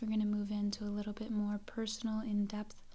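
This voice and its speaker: Soft-spoken and fairly high-pitched, a woman talks over noticeable background noise. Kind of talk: ASMR personal-questions roleplay for sleep. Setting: home desk with creaking and light background noise. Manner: soft-spoken, relaxing.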